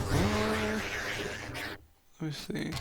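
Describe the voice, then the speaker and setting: A man at a very slow pace, with audible room echo. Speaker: gaming streamer. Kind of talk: live gameplay stream chat. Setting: home at night. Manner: soft-spoken. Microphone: quiet, mic input being adjusted.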